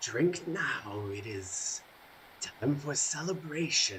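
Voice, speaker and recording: A man puts on a character voice at a fairly high pitch. He speaks at a very slow pace over clear background noise. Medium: actual play. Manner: smooth, condescending, coldly courteous.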